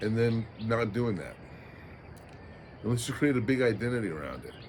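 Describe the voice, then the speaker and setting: There's audible room echo as a man talks at a moderate pace and medium pitch. His voice is somewhat breathy, with ordinary pitch variation. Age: 60s. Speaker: vlogger. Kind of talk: casual reflective monologue. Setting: outdoors at sunrise by the ocean. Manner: halting, frequent fillers.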